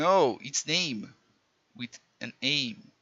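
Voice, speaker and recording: A man with a Portuguese accent. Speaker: programming teacher. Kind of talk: tutorial. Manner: halting, self-correcting.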